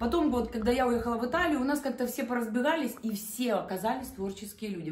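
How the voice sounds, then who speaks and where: In a room with audible echo, a woman talks at a very fast pace with ordinary pitch variation. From Ukraine, Chernihiv region. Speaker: decorator, artificial flower maker. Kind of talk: casual chat. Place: home room.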